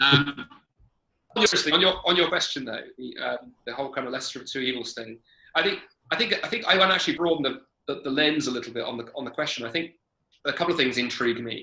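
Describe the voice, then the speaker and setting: A man with a British accent and a fairly high pitch speaks at a very fast pace, with lively intonation and long, frequent pauses. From Britain. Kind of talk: Q&A conversation.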